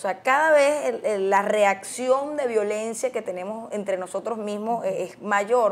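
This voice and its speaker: A normal speaking voice from a woman, fairly high in pitch, fairly slow in pace, with hardly any pauses. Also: ordinary pitch variation. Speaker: TV interviewer. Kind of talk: interview.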